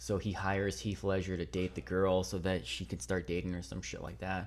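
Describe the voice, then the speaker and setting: His pitch is very deep and low, with audible vocal fry. The man talks at a fairly quick pace with lively intonation. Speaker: podcast host. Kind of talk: casual chat. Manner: animated.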